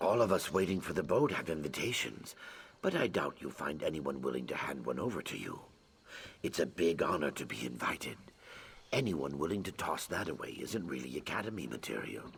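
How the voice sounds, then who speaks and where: A man puts on a character voice. His pitch is very deep and low. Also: fairly quick pace. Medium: video game. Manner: bright, chatty.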